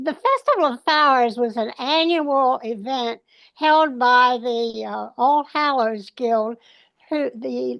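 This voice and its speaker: With an American accent, a woman speaks at a high pitch with ordinary pitch variation over a quiet background. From Maryland. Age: 90s. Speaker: children's book author. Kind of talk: interview. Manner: halting, many fillers.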